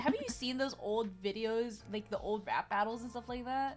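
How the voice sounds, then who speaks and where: The woman's pitch is high, with ordinary variation. Noticeable background noise runs behind her. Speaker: vtuber streamer. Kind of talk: casual chat. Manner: fast, slurred words; animated.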